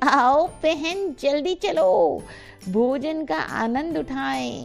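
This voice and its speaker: Faint music sits behind a woman doing a put-on character voice at a very slow pace. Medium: read story. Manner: formal, courteous.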